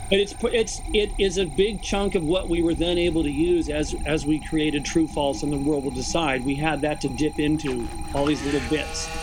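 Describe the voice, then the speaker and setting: Over noticeable background noise, a man with a fairly high voice talks at a moderate pace with hardly any pauses, very even loudness and ordinary pitch variation. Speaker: experimental music group member, guest on radio show. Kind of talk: casual interview chat. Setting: video call.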